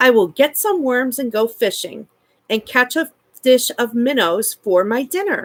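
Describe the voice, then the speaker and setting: Using a put-on character voice, a woman speaks high at a moderate pace. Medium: read story. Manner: polite, old-fashioned.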